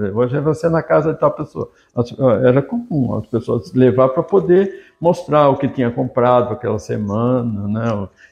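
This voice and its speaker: A man's medium-pitched, somewhat breathy voice carries lively intonation as he talks at a moderate pace. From Brazil, São Paulo (São Caetano do Sul). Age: 60s. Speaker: journalist and writer. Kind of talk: interview reminiscence. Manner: halting, many fillers.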